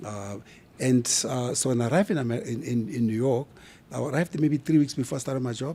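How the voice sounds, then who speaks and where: A man's very fast, somewhat breathy voice with a dark, mellow tone. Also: medium pitch for a man, ordinary pitch variation, very clean recording, silent background. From South Africa, Kimberley. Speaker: brand expert. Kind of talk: interview conversation. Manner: animated.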